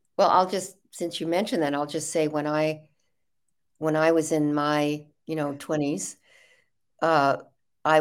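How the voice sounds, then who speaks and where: With an American accent, a woman speaks at a fairly slow pace in a very deep, low pitch. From US Midwest, Chicago area. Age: 70s. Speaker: author and activist. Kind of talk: interview. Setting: video call.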